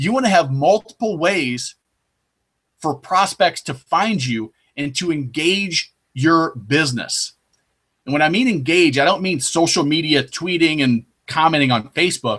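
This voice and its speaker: At a fairly slow pace, a man talks in a plain, everyday voice with a fairly high pitch and lively intonation. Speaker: sales trainer for boat dealers. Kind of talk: webinar presentation. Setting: online webinar.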